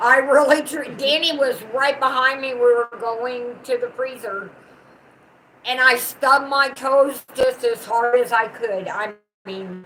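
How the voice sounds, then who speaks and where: With a Southern US accent, a woman uses a raised, projected voice at a high pitch with big swings in loudness. Her pace is fairly slow and her intonation fairly even. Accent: Southern country twang. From US South. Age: 60s. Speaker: channel owner's mother, co-host. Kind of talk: casual chat.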